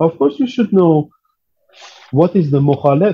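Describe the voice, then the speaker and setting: In an Iranian accent, a man speaks with a dark, mellow tone that is somewhat breathy. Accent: Persian, non-native English. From Iran, Tehran. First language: Persian. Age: 40s. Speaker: percussionist. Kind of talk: interview. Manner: halting.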